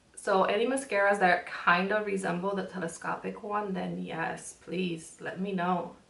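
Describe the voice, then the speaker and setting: Speaking at a moderate pace with hardly any pauses, the voice keeps a fairly even intonation over noticeable background noise and audible room echo. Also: woman, medium pitch for a woman. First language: Spanish. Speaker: beauty vlogger. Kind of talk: makeup tutorial. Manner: frequent um fillers and pauses; casual, chatty.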